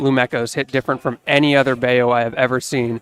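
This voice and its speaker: Medium pitch from a man, moderate pace, ordinary pitch variation, and a dry, close sound with no echo. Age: 20s. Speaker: esports commentator. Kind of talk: live commentary. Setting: live stream with headsets. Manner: animated.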